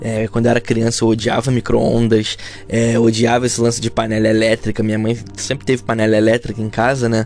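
A man speaks at a very fast pace in a medium pitch, his intonation flat and monotone, with music playing in the background. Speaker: podcaster. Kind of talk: casual chat. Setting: home recording.

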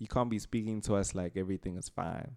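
A man's normal speaking voice, fairly low-pitched and fairly quick, with a dry, close sound with no echo and a very clean recording with a silent background. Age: young. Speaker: podcast co-host. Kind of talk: casual chat.

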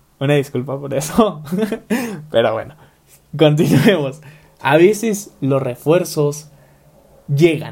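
A man's fairly high voice, very slow, with long and frequent pauses and a somewhat breathy quality. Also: ordinary pitch variation. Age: 20s. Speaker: podcast host, university student. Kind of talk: motivational podcast monologue.

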